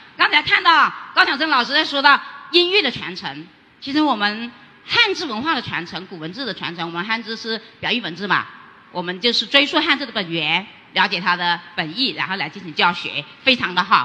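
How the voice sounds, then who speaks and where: Amid noticeable background noise, a woman talks at a fairly quick pace in a fairly high voice, with very wide pitch swings and big swings in loudness. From Guangxi, Liuzhou. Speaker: rural teacher. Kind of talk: audience question. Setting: stage with audience.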